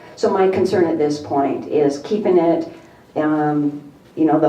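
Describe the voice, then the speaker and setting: Through audible room echo and noticeable background noise, a woman with a very deep, low pitch speaks at a moderate pace with ordinary pitch variation. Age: 50s. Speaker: real estate agent speaking at public comment. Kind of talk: public comment at council meeting. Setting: city council chamber. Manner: halting.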